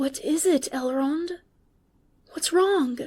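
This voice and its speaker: Speaking quietly, a woman uses a put-on character voice pitched high. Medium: read story. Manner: quiet, gentle.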